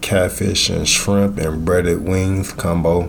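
Over noticeable background noise, a man with a very deep, low pitch speaks at a fairly slow pace with ordinary pitch variation. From Illinois, born in Mississippi. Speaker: food truck owner. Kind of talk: casual interview.

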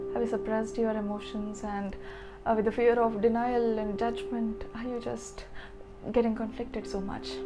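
Music plays behind the speaker. A woman talks at a moderate pace. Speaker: poet and podcast host. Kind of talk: poetry performance, emotional spoken-word love poem. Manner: dreamy, wistful, tender with longing.

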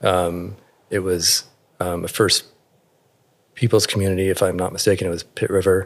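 With an American accent, a man speaks at a moderate pace in a very deep, low pitch, with monotone, flat intonation and long, frequent pauses. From Alaska and Northern California. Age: 40s. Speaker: tattoo artist. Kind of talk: interview. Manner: thoughtful, measured; hesitant, many fillers.

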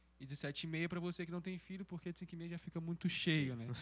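A man talks at a very fast pace. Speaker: church podcast host. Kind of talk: casual chat. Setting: studio.

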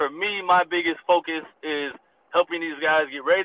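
This man has an unremarkable speaking voice, pitched fairly high, with an American accent, ordinary pitch variation and a moderate pace. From US. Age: 20s. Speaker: pro football player and coach. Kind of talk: interview.

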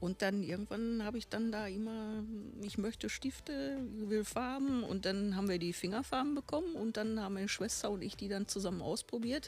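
A woman with a plain, everyday voice talks at a moderate pace in a fairly high pitch with ordinary pitch variation. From Bochum, Ruhr area, Germany. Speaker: painter, artist.

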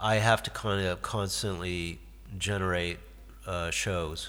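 Audible room echo carries a man with a Midwestern American accent speaking at a very slow pace. His fairly low voice has a bright, sharp tone and ordinary pitch variation. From US Midwest, Detroit. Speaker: guitarist and songwriter. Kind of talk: casual interview. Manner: halting.

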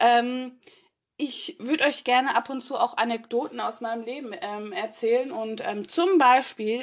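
Her pace is fairly slow. This woman's voice sits high in pitch. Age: 30s. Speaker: podcast co-host. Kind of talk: casual chat.

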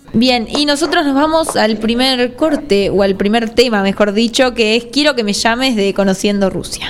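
A fairly high-pitched woman with a Rioplatense accent, ordinary pitch variation and a moderate pace with hardly any pauses, over noticeable background noise. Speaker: radio host. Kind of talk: radio interview.

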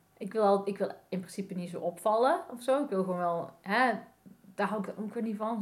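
A somewhat breathy woman at a medium pitch and a moderate pace. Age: 40s. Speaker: graphic designer, vintage fashion entrepreneur. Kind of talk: casual interview chat. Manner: halting, many fillers.

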